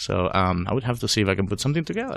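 In a slight Venezuelan accent, a man races along at a very fast pace with very wide pitch swings. The recording is very clean, with a silent background. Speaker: data science and BI consultant. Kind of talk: interview. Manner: halting.

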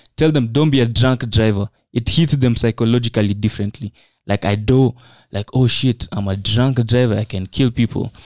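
A normal speaking voice at a moderate pace with fairly even intonation, dry, close sound with no echo and a very clean recording with a silent background. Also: man, medium pitch for a man. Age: 20s. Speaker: business founder and forex trainer. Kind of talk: casual chat.

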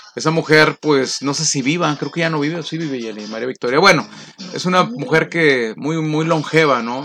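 A man with a fairly high pitch talks at a moderate pace and with ordinary pitch variation, noticeable background noise around him. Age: 50s. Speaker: radio announcer. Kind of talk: casual chat.

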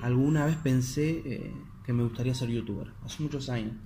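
A man with an Argentine accent speaks in a room with audible echo. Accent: Rioplatense Argentine Spanish. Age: 20s. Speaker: podcaster. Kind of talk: motivational monologue. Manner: halting, many repetitions.

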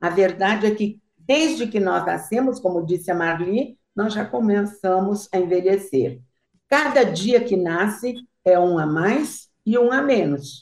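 In a Brazilian accent, a woman speaks at a medium pitch with lively intonation. Her pace is fairly slow. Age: 80s+. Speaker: guest speaker. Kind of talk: casual chat.

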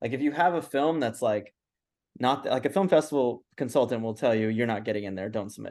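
A man talks at a very fast pace. His pitch is medium, with ordinary variation. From Los Angeles, US. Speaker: filmmaker. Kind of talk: interview.

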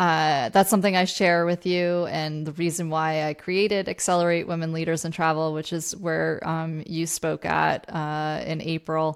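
A woman with an American accent talks at a moderate pace with hardly any pauses, using a fairly low pitch and monotone, flat intonation. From Vermont, US. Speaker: podcast host and leadership coach. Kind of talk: interview conversation.

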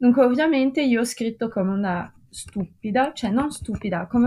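The voice is somewhat breathy, with a dark, mellow tone and ordinary pitch variation. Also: woman. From Russia. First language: French and Russian (speaking Italian). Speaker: art history graduate. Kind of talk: casual podcast discussion. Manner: hesitant, searching for words.

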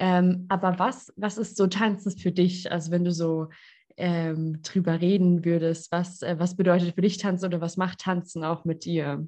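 Against a quiet background, a woman with a fairly low pitch and a dark, mellow tone speaks at a moderate pace. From southwest Germany, Lörrach area. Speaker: podcast host, physiotherapist and coach. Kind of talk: casual interview chat. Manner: animated.

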